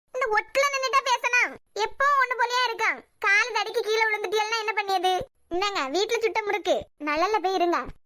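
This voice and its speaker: A woman's cartoonish character voice, extremely high in pitch, with ordinary pitch variation and a moderate pace. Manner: warm, motherly.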